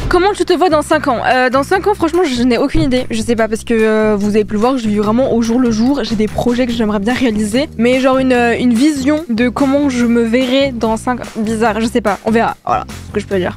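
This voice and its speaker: A woman talks in an animated tone at a fairly quick pace, her pitch high with ordinary variation. Music plays in the background. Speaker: YouTuber. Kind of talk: casual vlog challenge. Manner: fast when stressed.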